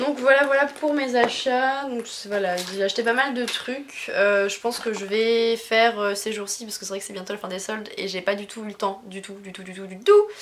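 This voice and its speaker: A woman's fairly high-pitched voice with ordinary pitch variation, set against noticeable background noise. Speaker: YouTuber, craft haul vlogger. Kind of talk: casual haul vlog. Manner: fast; hesitant, many fillers.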